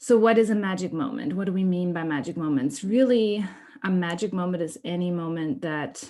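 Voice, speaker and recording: Her fairly low voice moves at a fairly quick pace with lively intonation as a woman speaks with a German accent. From Germany. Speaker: workshop presenter. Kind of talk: online workshop presentation.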